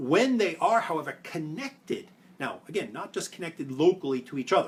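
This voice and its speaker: High-pitched for a man, this speaker has a Brooklyn accent. His intonation is lively. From New York (Brooklyn). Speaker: privacy policy expert. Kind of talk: explainer video. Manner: fast.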